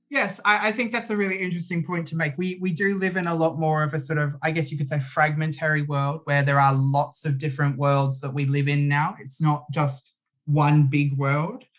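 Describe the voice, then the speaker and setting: A man's somewhat breathy, fairly high-pitched voice with an Australian accent and ordinary pitch variation. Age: 20s. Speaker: composer. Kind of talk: casual chat. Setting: video call.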